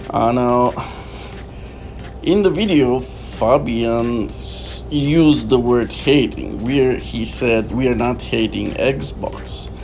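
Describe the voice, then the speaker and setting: Over music in the background and audible room echo, a man with a non-native accent speaks at a very slow pace. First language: not English. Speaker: gaming YouTuber. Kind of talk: gameplay commentary. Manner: halting, many fillers.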